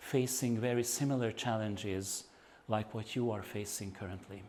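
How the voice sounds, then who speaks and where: This man talks at a medium pitch with ordinary pitch variation and a Hungarian accent. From Hungary, Budapest. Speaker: activist and researcher. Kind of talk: lecture. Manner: halting, with fillers.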